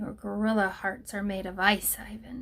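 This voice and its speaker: Using a put-on, growling character voice, a woman talks at a moderate pace with a medium pitch. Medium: read story.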